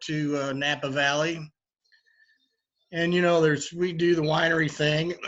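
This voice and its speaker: At a moderate pace, a man with a fairly high pitch speaks with fairly even intonation. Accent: strong Kentucky. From Kentucky. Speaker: bourbon bar owner. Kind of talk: interview. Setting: live virtual event. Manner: halting, many fillers.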